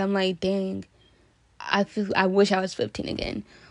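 With an American accent, a woman speaks at a medium pitch and a moderate pace. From Washington State, US (Kenyan-born). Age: 20s. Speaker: podcast host, college student. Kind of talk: casual monologue. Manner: hesitant, many fillers and laughs.

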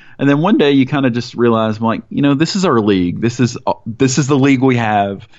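A man with an American accent, a plain, everyday voice, medium pitch, ordinary pitch variation and a fairly quick pace. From US South, Mississippi. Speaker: soccer podcast co-host. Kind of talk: casual chat.

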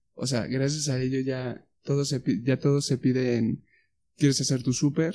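A man talks at a moderate pace and medium pitch. His tone is dark and mellow. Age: 20s. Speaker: podcast co-host. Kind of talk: casual chat.

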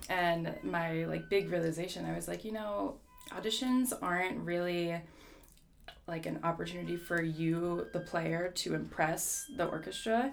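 A woman with an American accent at a fairly slow pace, amid audible room echo and music in the background. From New Jersey. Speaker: orchestral flutist. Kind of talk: casual interview.

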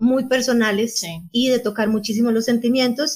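Somewhat breathy talking proceeds at a moderate pace, the intonation fairly even. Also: woman. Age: 40s. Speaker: podcast co-host, journalist. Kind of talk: casual chat.

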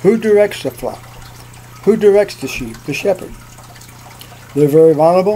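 Noticeable background noise accompanies a man whose pitch varies in an ordinary way. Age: 70s. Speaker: preacher. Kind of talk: sermon. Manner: earnest, preacherly.

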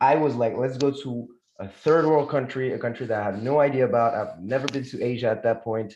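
A man speaks at a very fast pace with a French accent. His pitch is medium and varies in an ordinary way. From France, Moroccan family. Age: 20s. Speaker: communication consultant. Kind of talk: casual chat.

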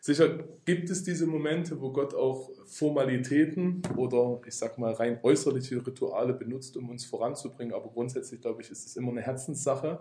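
Talking at a fairly quick pace with hardly any pauses, a man with medium pitch and ordinary pitch variation has an unremarkable speaking voice, with big swings in loudness. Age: 30s. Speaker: bible school director of studies. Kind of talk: interview about spiritual growth. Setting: in person at a faith centre.

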